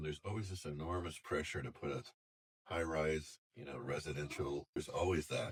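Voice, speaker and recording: With an American accent, a man speaks in a very deep, low, somewhat breathy voice. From US West Coast, Sausalito, California. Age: 60s. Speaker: longtime local resident. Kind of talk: oral history interview. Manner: halting, with self-corrections and fillers.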